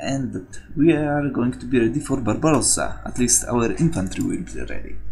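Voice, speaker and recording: There is audible room echo along with noticeable background noise. The delivery holds a moderate pace. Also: man. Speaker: gaming video commentator. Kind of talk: gameplay commentary. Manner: loud.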